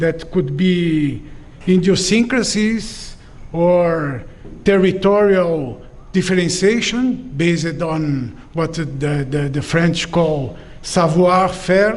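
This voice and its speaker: A man with a non-native accent speaks at a high pitch and a very slow pace. Audible room echo surrounds his ordinary pitch variation. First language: not English. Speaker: professor. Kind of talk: lecture. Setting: auditorium with audience. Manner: halting, with many fillers.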